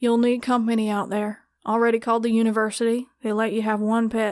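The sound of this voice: A woman puts on a gruff character voice at a fairly high pitch. She talks fairly quickly with monotone, flat intonation.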